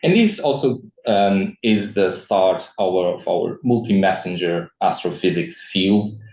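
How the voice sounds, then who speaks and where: Pitch variation is ordinary and the pace fairly slow. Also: man, fairly low pitch for a man. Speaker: astroparticle physicist, seminar speaker. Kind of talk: lecture. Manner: halting, many fillers and repetitions.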